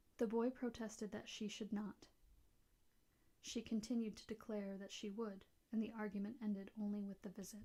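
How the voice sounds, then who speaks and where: The voice is whispering and soft-spoken. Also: moderate pace. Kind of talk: ASMR soft-spoken audiobook reading of a classic novel. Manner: soft-spoken, whispery.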